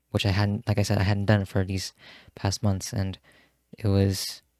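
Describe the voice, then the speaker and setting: Soft-spoken and fairly low in pitch, a man talks at a moderate pace in a monotone, flat intonation. The very clean recording has a silent background and a dry, close sound with no echo. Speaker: vlogger. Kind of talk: personal reflection monologue. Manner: halting.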